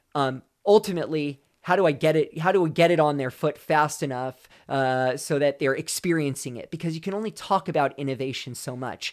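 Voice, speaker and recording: In a plain, everyday voice with ordinary pitch variation, the speaker moves at a fairly quick pace on a very clean recording with a silent background. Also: man, fairly high pitch for a man. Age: 40s. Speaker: former pro runner, sports nutrition brand lead. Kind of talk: casual interview. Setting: in-person studio interview. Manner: frequent fillers and repetitions.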